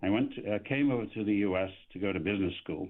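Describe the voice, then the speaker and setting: A man speaks with an English accent. His pitch sits fairly low. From England. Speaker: economist. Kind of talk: radio interview. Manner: halting.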